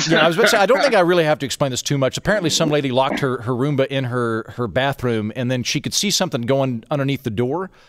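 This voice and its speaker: Over noticeable background noise, a man talks very fast with hardly any pauses, his fairly high pitch rising and falling in lively intonation, in a dry, close sound with no echo. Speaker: podcast host. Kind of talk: casual chat.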